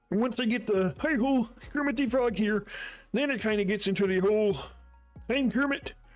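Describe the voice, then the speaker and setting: Using a put-on character voice, a man speaks with a high pitch at a fairly quick pace, leaving long, frequent pauses while faint music plays in the background. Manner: playful.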